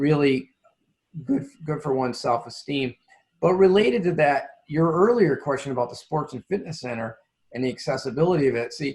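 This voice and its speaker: Somewhat breathy, this man speaks at a fairly high pitch. His pitch variation is ordinary. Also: fairly quick pace. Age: 60s. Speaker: nonprofit CEO. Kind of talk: interview.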